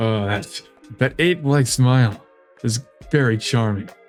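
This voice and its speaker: A man puts on a character voice over faint music in the background. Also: medium pitch for a man, moderate pace. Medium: game stream. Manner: creepy, nervous, giggly.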